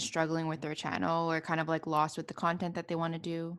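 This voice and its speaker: Against a quiet background, a woman uses an ordinary speaking voice at a fairly quick pace. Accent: Canadian. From Montreal, Canada. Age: 20s. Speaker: podcast host. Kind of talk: casual interview; solo monologue.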